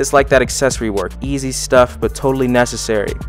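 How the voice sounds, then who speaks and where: A man's voice, dry with no echo, with music in the background. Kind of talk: tutorial voice-over commentary.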